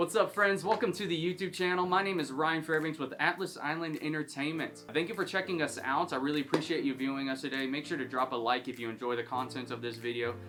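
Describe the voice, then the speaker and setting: Very fast, hardly pausing male speech, fairly high for a man, with ordinary pitch variation and music in the background. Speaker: recording studio engineer. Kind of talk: tutorial. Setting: studio vocal booth. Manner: animated.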